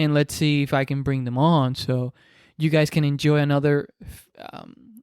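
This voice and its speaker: Over a very clean recording with a silent background, a man with a Spanish accent speaks at a moderate pace and a fairly high pitch, keeping his intonation fairly even. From Dominican Republic. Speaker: podcaster. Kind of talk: casual monologue. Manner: halting, many repetitions and fillers.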